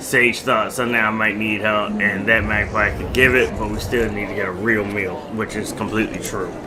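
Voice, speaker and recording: Against noticeable background noise and audible room echo, a man with a fairly low voice talks at a moderate pace. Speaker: gaming youtuber. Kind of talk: let's play commentary, reading game text aloud. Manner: casual, yawning.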